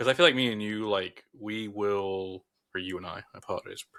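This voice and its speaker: This very clean recording has a silent background. The speaker has a Southern US accent and a bright, sharp tone. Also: man. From US South. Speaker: podcast co-host. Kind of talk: casual chat. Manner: animated.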